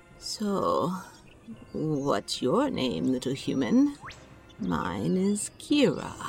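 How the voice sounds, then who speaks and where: A put-on character voice at a very slow pace, with long, frequent pauses over clear background noise. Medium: audio drama. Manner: gentle, earnest.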